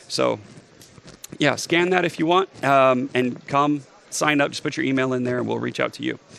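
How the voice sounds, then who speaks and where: A man at a medium pitch talks with fairly even intonation over noticeable background noise. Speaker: health tech entrepreneur. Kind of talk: conference talk. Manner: fast.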